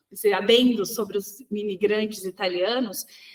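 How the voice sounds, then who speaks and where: Her voice is fairly high for a woman, and she keeps a moderate pace. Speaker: sugarcane producer, rural leader. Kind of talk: podcast interview. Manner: talks with her hands, animated.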